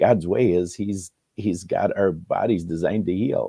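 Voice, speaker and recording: A man's normal speaking voice, fairly low in pitch, with ordinary pitch variation. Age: 60s. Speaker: talk show guest, family member suing over a death. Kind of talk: interview conversation.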